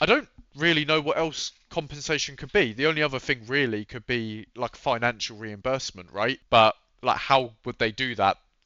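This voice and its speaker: A man with a British accent talks at a medium pitch. His pace is moderate and his pitch variation ordinary. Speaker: gaming YouTuber. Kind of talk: casual commentary reacting to a read-out update.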